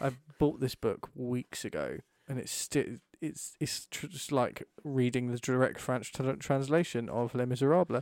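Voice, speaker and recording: A man speaks at a medium pitch in a plain, everyday voice. His pace is fairly slow and his intonation fairly even. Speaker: podcast co-host. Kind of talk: casual banter. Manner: dry, joking.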